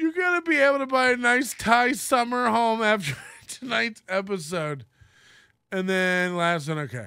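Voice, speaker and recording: A man projects his raised voice fairly slowly in a bright, sharp tone with very wide pitch swings, the sound dry with no echo over a quiet background. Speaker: live streamer. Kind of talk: casual live stream chat. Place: studio. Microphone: studio mic.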